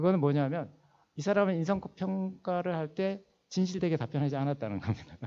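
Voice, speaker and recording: With a dark, mellow tone, a man talks as his pitch shifts in an ordinary way. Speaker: finance executive and seminar lecturer. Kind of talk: lecture. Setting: church hall seminar. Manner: fast.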